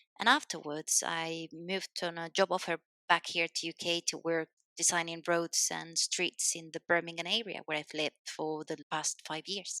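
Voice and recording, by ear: At a moderate pace, a woman with a fairly low pitch and a bright, sharp tone speaks with little pitch movement, in a dry, close sound with no echo.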